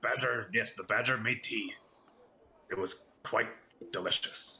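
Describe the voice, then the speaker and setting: Putting on a raspy character voice, a man speaks at a moderate pace. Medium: actual play.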